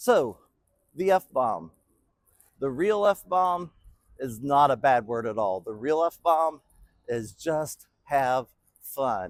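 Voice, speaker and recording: A man's voice with very wide pitch swings, dry and close with no echo, on a very clean recording against a silent background. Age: 60s. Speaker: business speaker. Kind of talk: motivational talk. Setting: bowling alley. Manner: casual, folksy.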